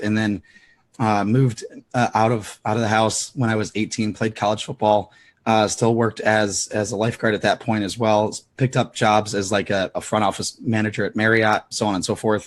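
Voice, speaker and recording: This man's voice sits fairly low in pitch and runs in a monotone, flat intonation. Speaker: business coach. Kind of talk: interview. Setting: live online broadcast.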